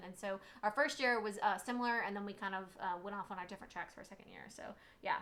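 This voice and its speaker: Speaking very fast with a Southern US accent, a woman uses a fairly high pitch. Her intonation stays fairly even. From Germany, US military family. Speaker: PA educator and co-host. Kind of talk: casual live stream chat.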